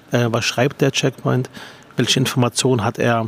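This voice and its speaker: A man is heard over noticeable background noise. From Berlin. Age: 40s. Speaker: politician and podcast host. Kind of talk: interview. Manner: halting.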